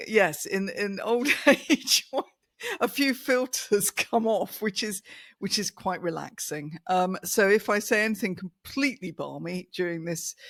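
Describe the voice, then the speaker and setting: A woman with an unremarkable speaking voice at a medium pitch speaks at a fairly slow pace with lively intonation, her dry, close sound free of echo in a very clean recording with a silent background. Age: 60s. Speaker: communication coach. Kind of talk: casual chat.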